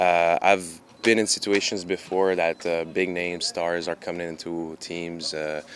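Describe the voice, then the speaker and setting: With a Quebec accent, a man talks at a very deep, low pitch in a monotone, flat intonation with hardly any pauses. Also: fairly slow pace. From Canada. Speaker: professional soccer goalkeeper. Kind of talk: press conference interview. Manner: hesitant, many fillers.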